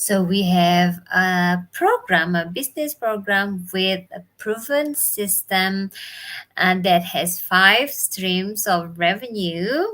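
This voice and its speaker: In an Indonesian accent, this voice talks at a very slow pace with a bright, sharp tone and ordinary pitch variation. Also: woman, medium pitch for a woman. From Bali, Indonesia. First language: Indonesian or Balinese. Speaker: business mentor. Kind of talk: live stream talk. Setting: live video stream from home.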